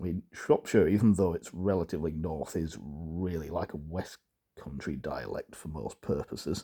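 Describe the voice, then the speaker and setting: Very deep and low in pitch, a man speaks at a moderate pace in a dark, mellow tone. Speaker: dialect enthusiast, book reviewer. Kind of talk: casual book review. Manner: hesitant, many fillers.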